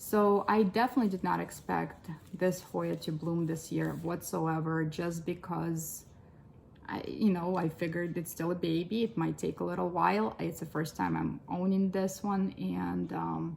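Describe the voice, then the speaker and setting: The pace stays moderate. A woman talks with a non-native accent. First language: not English. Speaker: plant collector vlogger. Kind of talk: plant collection tour. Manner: casual, hesitant with fillers.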